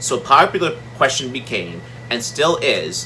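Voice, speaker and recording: Noticeable background noise runs behind a man whose pitch varies in an ordinary way. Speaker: health video creator. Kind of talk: informational explainer. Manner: loud.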